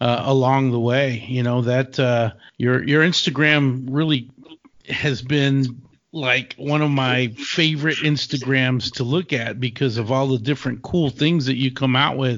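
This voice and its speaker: Fairly slow and with fairly even intonation, the voice carries a Texan accent. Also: man. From West Texas. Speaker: podcast host. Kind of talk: casual interview chat; scripted intro narration.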